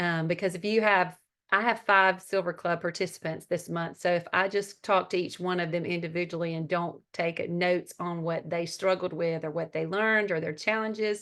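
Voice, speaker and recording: A woman in a strong Southern US accent, monotone and flat, at a moderate pace with hardly any pauses, against a quiet background. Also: fairly low pitch for a woman. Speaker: network marketing team leader and mentor. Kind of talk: training talk on a group call.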